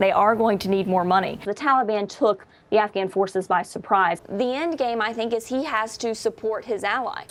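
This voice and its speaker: A woman with an ordinary speaking voice talks at a moderate pace, using a fairly high pitch and ordinary pitch variation. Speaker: TV news reporter. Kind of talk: TV news report clips.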